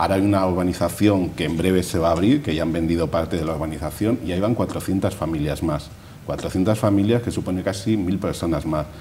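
A man talks at a fairly quick pace with a very deep, low pitch. His pitch varies in an ordinary way over light background noise. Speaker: neighborhood association president. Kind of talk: TV interview. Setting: studio. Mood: upbeat, enthusiastic. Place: studio.

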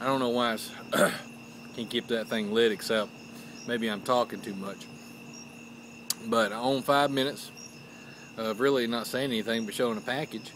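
A man speaks at a moderate pace with fairly even intonation, leaving long, frequent pauses. The sound is dry with no echo, over light background noise. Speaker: pipe hobbyist vlogger. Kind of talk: casual vlog chat. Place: garden. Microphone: phone near.

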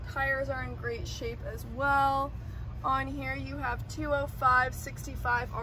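The delivery is fairly slow, and noticeable background noise runs beneath it. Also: woman. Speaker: presenter. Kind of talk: product walkaround commentary. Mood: enthusiastic, upbeat. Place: street.

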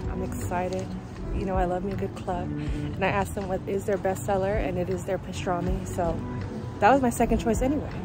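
A woman talks at a fairly quick pace in a dry sound with no echo, with clear music in the background. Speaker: food vlogger. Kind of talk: casual vlog chat. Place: street. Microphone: earbuds.

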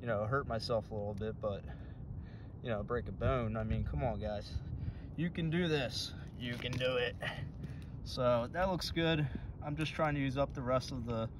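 A man talks at a moderate pace, leaving long, frequent pauses. The sound is dry with no echo, with noticeable background noise. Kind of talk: tutorial. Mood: casual, encouraging. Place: open country. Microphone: phone near.

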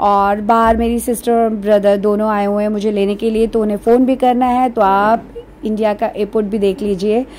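A woman speaks at a moderate pace, pitched fairly high, with a dark, mellow tone. Her intonation is fairly even.

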